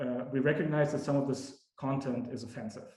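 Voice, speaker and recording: A man talks in a room with audible echo. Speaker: academic researcher. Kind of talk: lecture. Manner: many fillers and repetitions.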